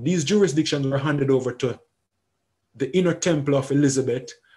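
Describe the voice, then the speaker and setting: A somewhat breathy man's voice, fairly high in pitch, with a dark, mellow tone. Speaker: educator. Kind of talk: lecture. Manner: halting, with frequent repetitions; fast.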